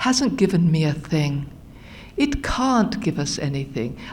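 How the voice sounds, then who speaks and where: With a British accent, a woman talks at a fairly slow pace with very wide pitch swings, amid audible room echo and noticeable background noise. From England, London area. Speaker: recovery speaker. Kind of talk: testimony.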